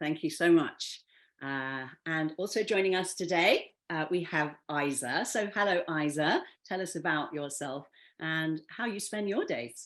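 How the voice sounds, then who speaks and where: A woman speaks in an ordinary speaking voice at a fairly low pitch and a fairly slow pace, with ordinary pitch variation, on a very clean recording with a silent background. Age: 60s. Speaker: panel moderator. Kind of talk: panel discussion.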